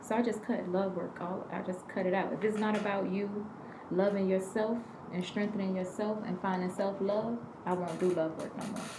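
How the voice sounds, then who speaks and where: A woman speaks at a moderate pace and medium pitch, her intonation flat and monotone. Audible room echo and noticeable background noise fill the recording. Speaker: spiritual healer. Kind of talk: casual chat. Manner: shy.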